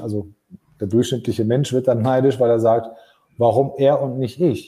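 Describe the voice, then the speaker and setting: A man's somewhat breathy, dark, mellow voice at a fairly quick pace. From Germany. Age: 40s. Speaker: podcast host, business leader. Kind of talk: casual chat. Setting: LinkedIn live stream.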